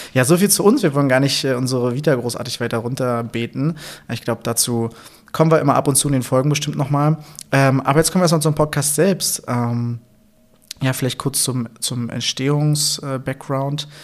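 Here a man speaks at a fairly quick pace. His pitch is fairly high and varies in an ordinary way. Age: 30s. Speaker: podcast co-host, physiotherapist. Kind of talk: casual chat. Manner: halting, many fillers.

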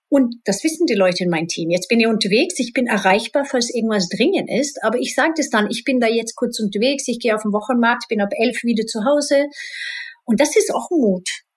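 Lively, fairly quick speech from a woman with a fairly high pitch. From Sweden, partly Spain. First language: Swedish (speaking German). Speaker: IT executive and rock singer. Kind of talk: interview.

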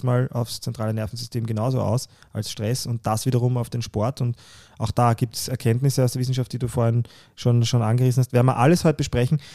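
A man's medium-pitched voice with a dark, mellow tone at a fairly quick pace, dry and close with no echo, on a very clean recording with a silent background. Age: 30s. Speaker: podcast co-host, fitness enthusiast. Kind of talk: casual chat. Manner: animated.

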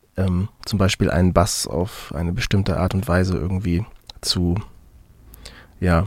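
His voice very deep and low, a man talks with fairly even intonation. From Mecklenburg-Western Pomerania, Germany. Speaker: musician. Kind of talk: interview. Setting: video call. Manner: halting, many fillers.

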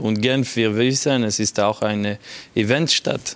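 A man in a French accent speaks with fairly even intonation. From Geneva, French-speaking Switzerland. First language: French (speaking German). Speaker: football sporting director. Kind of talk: panel interview. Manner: halting.

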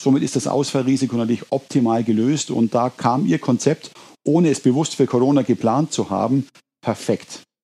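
Medium-pitched male voice, dark and mellow, at a moderate pace with ordinary pitch variation and very even loudness, dry and close with no echo, on a very clean recording with a silent background. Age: 50s. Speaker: business owner. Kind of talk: interview.

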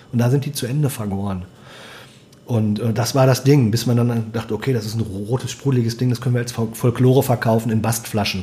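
The man talks at a fairly quick pace and medium pitch. Noticeable background noise runs beneath him. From Germany, moved around (Bremen area, Lüneburger Heide, Sauerland). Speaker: food and wine writer, former restaurateur. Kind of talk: casual chat. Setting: at guest's kitchen table. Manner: animated.

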